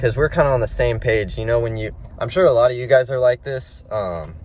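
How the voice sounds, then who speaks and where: A man's speech moves at a moderate pace while noticeable background noise carries on. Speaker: fitness coach and vlogger. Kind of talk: motivational monologue to camera. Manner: halting, stumbling with fillers; casual.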